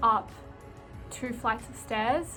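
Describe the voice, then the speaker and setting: A woman's fairly high voice in an Australian accent, flat and monotone at a moderate pace, with music in the background. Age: 20s. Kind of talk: casual vlog talk to camera.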